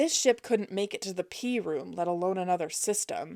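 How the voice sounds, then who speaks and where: A woman uses a put-on character voice that sounds raspy, at a medium pitch. She keeps a moderate pace. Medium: read story. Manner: grumpy, curt.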